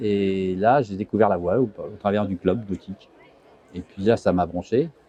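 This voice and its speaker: The tone is dark and mellow. The pace is moderate. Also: man, fairly low pitch for a man, ordinary pitch variation. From France, Vosges (Mirecourt). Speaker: sailor. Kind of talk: interview. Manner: halting.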